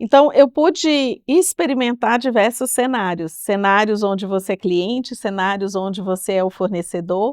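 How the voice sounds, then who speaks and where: In a mineiro accent, a woman speaks at a moderate pace with ordinary pitch variation, on a very clean recording with a silent background and a dry, close sound with no echo. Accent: mineiro Brazilian Portuguese, kept. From Brazil, Minas Gerais. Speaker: technology executive. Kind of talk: podcast interview. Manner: hesitant, many fillers.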